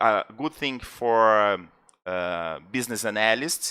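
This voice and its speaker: On a very clean recording with a silent background, a man speaks very slowly in a bright, sharp tone with lively intonation. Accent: Brazilian. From Brazil. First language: Portuguese. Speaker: podcast co-host, interviewer. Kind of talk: interview. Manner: halting.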